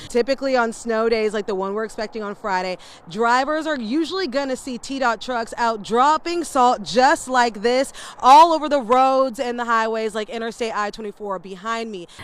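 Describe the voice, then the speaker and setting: An American accent, upbeat in tone and moderate in pace, over noticeable background noise. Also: woman, fairly high pitch for a woman, ordinary pitch variation. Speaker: TV news anchor and reporter. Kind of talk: news anchor and field reporter delivery. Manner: upbeat, outgoing, relatable.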